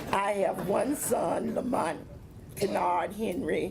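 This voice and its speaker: Through noticeable background noise and audible room echo, a woman speaks at a very slow pace. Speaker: civil rights veteran, retired teacher. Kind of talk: panel talk. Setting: panel with audience, handheld mic.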